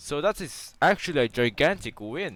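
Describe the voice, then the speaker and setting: With vocal fry and lively intonation, a man is heard in a very clean recording with a silent background. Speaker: tech YouTuber. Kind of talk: tutorial. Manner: animated; loud.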